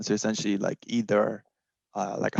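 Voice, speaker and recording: A man speaks with a Puerto Rican accent. The sound is dry and close, with no echo. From Puerto Rico. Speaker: technical marketing engineer. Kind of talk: panel self-introduction. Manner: many filler ums.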